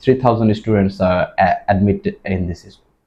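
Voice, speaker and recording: A man speaks in a Bengali accent. His pitch varies in an ordinary way. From Bangladesh, Dhaka. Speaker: IELTS test taker. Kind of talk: mock speaking exam. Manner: halting, many fillers.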